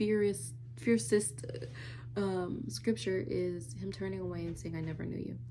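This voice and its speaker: Soft-spoken, fairly slow delivery amid audible room echo and noticeable background noise. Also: woman. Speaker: lifestyle vlogger. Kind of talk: casual vlog monologue.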